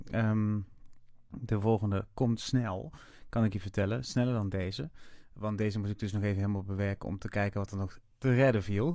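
A man's fairly low, dark, mellow voice at a moderate pace with ordinary pitch variation against a quiet background. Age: 30s. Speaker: podcast host. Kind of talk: casual podcast intro and outro.

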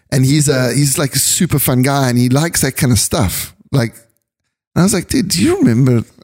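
A man's dark, mellow, somewhat breathy voice at a fairly quick pace, with ordinary pitch variation. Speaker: podcast host and photographer. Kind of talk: casual chat. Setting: studio.

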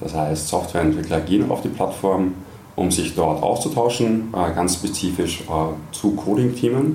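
In an Austrian accent, a man with a very deep, low pitch speaks at a fairly slow pace with lively intonation and audible room echo. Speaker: tech community country manager. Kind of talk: interview. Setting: office kitchen.

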